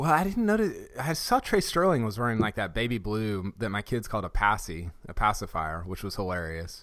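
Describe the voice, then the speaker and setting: A man with an unremarkable speaking voice and fairly low pitch talks at a fairly quick pace with lively intonation and hardly any pauses, in a very clean recording with a silent background. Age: 30s. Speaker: podcast host. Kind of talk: casual chat.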